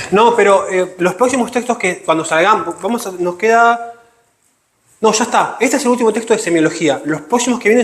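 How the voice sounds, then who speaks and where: A man's fairly quick speech carries lively intonation. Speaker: teacher. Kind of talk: lecture. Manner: fast.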